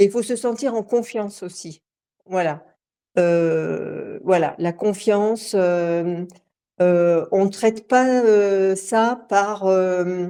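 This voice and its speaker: A woman's medium-pitched voice, dark and mellow in tone, with ordinary pitch variation, a very slow pace, and a quiet background. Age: 60s. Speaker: coaching client giving testimony. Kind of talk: testimony interview. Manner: halting, many hesitations.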